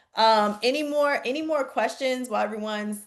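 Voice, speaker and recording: A woman speaks with a Southern US accent against a quiet background. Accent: country accent, picked up from the South. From Chicago. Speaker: real estate investing coach. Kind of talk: webinar Q&A. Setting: video call. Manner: animated.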